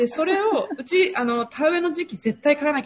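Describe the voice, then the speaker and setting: A woman's very fast speech with very wide pitch swings and noticeable background noise. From Japan, Toyama Prefecture. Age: 30s. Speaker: public relations worker and regional development freelancer. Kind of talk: casual interview. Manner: lively, frequent fillers.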